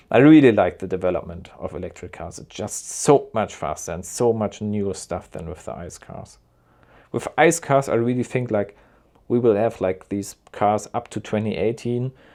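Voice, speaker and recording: With a German accent, a man speaks at a fairly low pitch and a moderate pace, with ordinary pitch variation and big swings in loudness, on a very clean recording with a silent background. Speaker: car YouTuber. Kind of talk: live reaction commentary.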